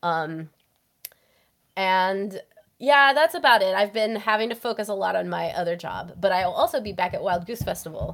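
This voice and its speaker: On a very clean recording with a silent background, a woman has a plain, everyday voice at a medium pitch, with lively intonation and a moderate pace. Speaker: guest, writer. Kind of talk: casual chat.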